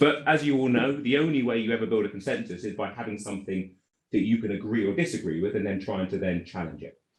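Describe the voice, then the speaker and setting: A man speaks with a British accent at a very fast pace. His pitch is fairly low, with ordinary variation. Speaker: regulation consultant, former regulator. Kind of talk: conference panel presentation.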